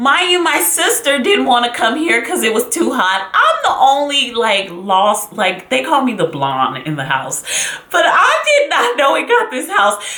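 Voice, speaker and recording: Delivered at a moderate pace in a dramatic tone, the voice comes with noticeable background noise. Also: woman. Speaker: YouTuber / vlogger. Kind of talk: casual talk to camera, storytelling. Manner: dramatic, expressive, chatty.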